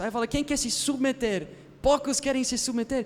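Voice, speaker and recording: Animated man's voice at an extremely high pitch, with ordinary pitch variation. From foreign, not Brazilian. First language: not Portuguese, learned it as adult (speaking Portuguese). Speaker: pastor. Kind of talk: sermon. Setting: church service with live audience.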